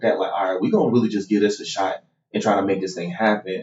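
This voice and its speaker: Here a man talks at a very fast pace with an American accent. His pitch variation is ordinary. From Missouri, US. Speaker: podcast co-host, married couple. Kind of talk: casual conversation between spouses.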